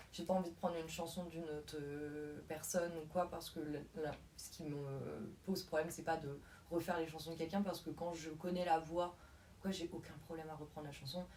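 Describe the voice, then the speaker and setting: Talking at a fairly quick pace, a woman keeps a monotone, flat intonation at a fairly low pitch while her loudness swings widely. Audible room echo and noticeable background noise are present. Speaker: singer in a band, prospective voice student. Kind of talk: interview. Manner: halting.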